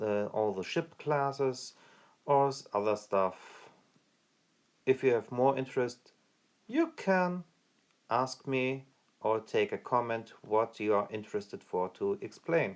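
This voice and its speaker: Recorded very cleanly against a silent background, a man speaks at a fairly slow pace with a medium pitch and ordinary pitch variation. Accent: German. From Germany. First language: German. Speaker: gaming youtuber. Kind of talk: tutorial. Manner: halting, with fillers and restarts.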